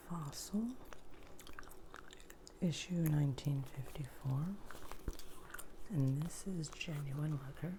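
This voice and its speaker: A very slow pace with long, frequent pauses over noticeable background noise. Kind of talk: ASMR thrift haul ramble to camera. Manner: soft whispering with gum chewing.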